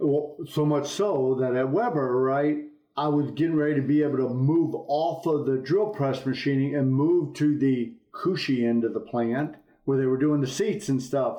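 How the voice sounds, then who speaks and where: A man speaks with a fairly high pitch, ordinary pitch variation, a moderate pace and very even loudness. The room echo is audible and the background noise is noticeable. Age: 60s. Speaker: business executive. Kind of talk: interview.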